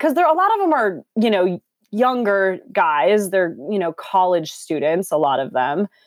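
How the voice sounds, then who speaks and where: Lively intonation marks a woman's unremarkable speaking voice at a medium pitch. The recording is very clean, with a silent background. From Minneapolis, US Midwest. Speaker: fitness instructor. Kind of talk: casual interview.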